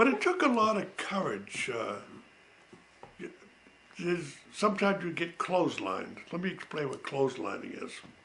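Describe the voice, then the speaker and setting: A man talks at a moderate pace with long, frequent pauses and big swings in loudness. The recording has audible room echo and noticeable background noise. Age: 80s+. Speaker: family elder telling life stories. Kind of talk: oral history recollection. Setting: home recording. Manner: hesitant with frequent fillers.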